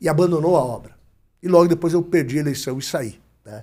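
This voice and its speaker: A man speaks at a fairly quick pace in a dark, mellow tone. The recording is very clean and the background silent. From Brazil, Paraná (Ponta Grossa). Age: 60s. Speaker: politician and broadcaster. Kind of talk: interview.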